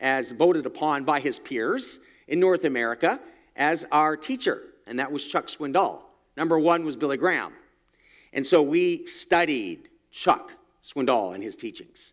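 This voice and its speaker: In a very clean recording with a silent background, a man with a plain, everyday voice speaks at a fairly high pitch and a fairly slow pace, his intonation lively. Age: 60s. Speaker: church guest speaker. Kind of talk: testimony. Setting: men's breakfast gathering.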